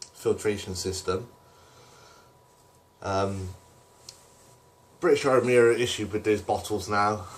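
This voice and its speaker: The speaker has a strong Bristol accent and a somewhat breathy voice. The pace is fairly slow. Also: man. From Bristol, south-west England. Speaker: camping and bushcraft vlogger. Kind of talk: gear rundown vlog. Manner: hesitant, many fillers.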